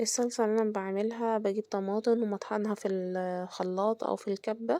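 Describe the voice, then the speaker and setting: Against a quiet background, a woman with a dark, mellow tone speaks with fairly even intonation. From Egypt. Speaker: home cooking vlogger. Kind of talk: cooking tutorial. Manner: halting, with fillers and restarts; casual, conversational.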